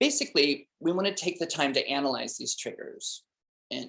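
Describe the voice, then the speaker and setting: A man speaking at a moderate pace. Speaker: student presenting a textbook chapter summary. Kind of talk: casual presentation. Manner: halting, many fillers.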